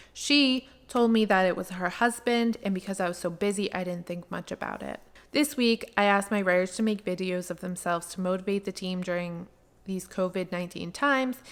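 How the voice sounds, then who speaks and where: At a fairly quick pace, a woman with a medium pitch speaks with ordinary pitch variation. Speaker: freelance writer. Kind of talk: reading an email aloud.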